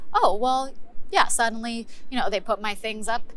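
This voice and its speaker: Noticeable background noise behind a woman speaking. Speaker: actor performing a scripted monologue. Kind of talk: theatrical monologue, conversational, performed to camera. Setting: virtual recording of a monologue made during the pandemic.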